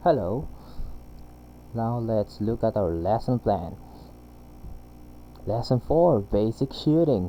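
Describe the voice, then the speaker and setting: Speaking very slowly with long, frequent pauses, a man uses a dark, mellow tone at a medium pitch and lively intonation. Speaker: game programming tutor. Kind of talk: screen-recorded tutorial. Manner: halting, with fillers.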